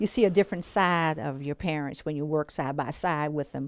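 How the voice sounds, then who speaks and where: The speaker is a woman with a very deep, low pitch. She moves at a fairly quick pace. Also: dry sound with no echo. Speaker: bookkeeper in family business. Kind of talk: interview answer. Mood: warm, fond. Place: home room.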